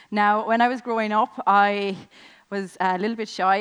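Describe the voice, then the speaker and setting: In a Limerick accent, a woman speaks with flat, monotone intonation. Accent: Irish (Limerick). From Ireland, Limerick. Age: 20s. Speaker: network marketing business owner. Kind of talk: motivational speech. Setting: stage with audience.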